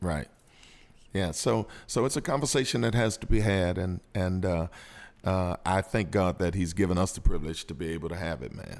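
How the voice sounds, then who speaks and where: Very deep and low, a man's voice with vocal fry and lively intonation swings widely in loudness on a very clean recording with a silent background. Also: moderate pace. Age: 50s. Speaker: pastor. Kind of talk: casual chat.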